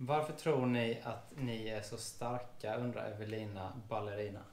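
Faint music plays in the background, and there is audible room echo. A man speaks at a fairly slow pace with fairly even intonation. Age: 30s. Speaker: police officer and vlogger; vlogger. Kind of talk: casual chat. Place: home room.

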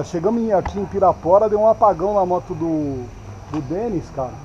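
Light background noise is present as a man speaks at a high pitch. His pace is fairly slow. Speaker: motorcycle vlogger. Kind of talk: casual vlog chat. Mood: joking, relaxed. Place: street. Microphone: phone near.

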